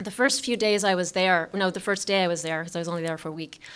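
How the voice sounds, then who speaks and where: Pitch variation in this woman's voice is ordinary. The recording is very clean and the background silent. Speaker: artist. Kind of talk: presentation talk. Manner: fast; halting.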